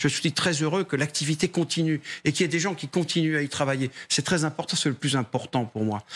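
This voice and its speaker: On a very clean recording with a silent background, a man speaks fairly quickly at a fairly high pitch with ordinary pitch variation. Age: 60s. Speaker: trade union leader. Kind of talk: TV panel debate. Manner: hesitant, repeats words.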